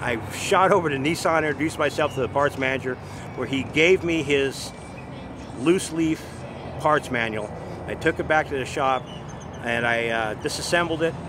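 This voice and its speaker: A man speaks at a moderate pace with a dry sound and no echo. Noticeable background noise sits behind him. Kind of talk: interview answer. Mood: enthusiastic storytelling. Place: street.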